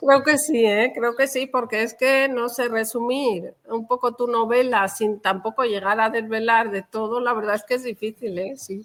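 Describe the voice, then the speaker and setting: A woman speaks in an ordinary speaking voice at a fairly slow pace, her fairly high pitch carried by fairly even intonation. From Valencia region, Spain (Xeraco), family from Toledo. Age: 50s. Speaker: novelist. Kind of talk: interview.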